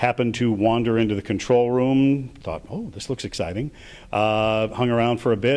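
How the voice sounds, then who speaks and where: Here a man talks at a fairly quick pace. His intonation stays fairly even. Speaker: baseball stadium public address announcer. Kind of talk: interview answer. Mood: warm, reflective.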